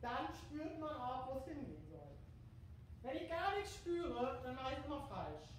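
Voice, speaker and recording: In a strong room echo, a woman talks at a moderate pace with a high pitch. Her pitch variation is ordinary, and there is light background noise. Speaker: fitness instructor. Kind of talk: exercise tutorial. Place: gym. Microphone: camera far.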